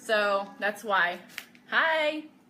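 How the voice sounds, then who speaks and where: Lively intonation over noticeable background noise. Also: woman. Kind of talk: live sales stream. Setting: live video stream. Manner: loud; casual chatty.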